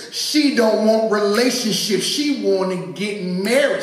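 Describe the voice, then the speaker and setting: Audible room echo surrounds a man speaking very slowly at a high pitch. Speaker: poet. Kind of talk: spoken-word poem performance with audience call-and-response. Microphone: handheld.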